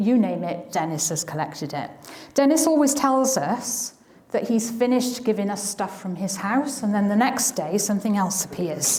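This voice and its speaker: Over noticeable background noise and audible room echo, a woman with a South Wales accent speaks at a moderate pace with lively intonation. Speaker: historian and museum volunteer. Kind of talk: public talk. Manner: hesitant, with fillers.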